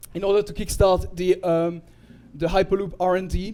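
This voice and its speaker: At a fairly quick pace, a man talks with a high pitch and a dark, mellow tone. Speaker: tech presenter. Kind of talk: presentation. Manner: halting.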